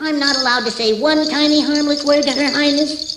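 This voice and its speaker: A high-pitched, put-on character voice moves at a fairly quick pace. Background noise is clearly heard. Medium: short film. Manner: cheeky, boastful.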